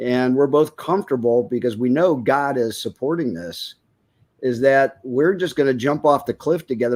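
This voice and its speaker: An ordinary speaking voice with ordinary pitch variation, moderately paced, on a very clean recording against a silent background. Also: man. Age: 60s. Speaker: researcher. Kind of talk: casual chat.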